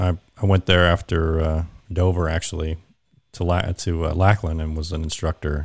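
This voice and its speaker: With an American accent, a man speaks at a moderate pace in a very deep, low pitch and a monotone, flat intonation. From Kansas (Wichita). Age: 40s. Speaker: Air Force veteran, dog handler. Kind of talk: casual chat. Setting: video call.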